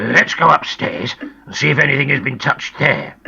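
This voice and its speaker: A put-on character voice, gruff, growling and raspy, delivered at a moderate pace. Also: man. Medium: read story.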